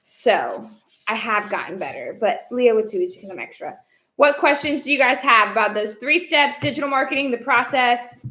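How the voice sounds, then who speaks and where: With an American accent, a woman speaks at a moderate pace in a high, bright, sharp voice, with lively intonation and big swings in loudness. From Texas. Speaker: online business coach. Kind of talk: live stream. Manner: energetic.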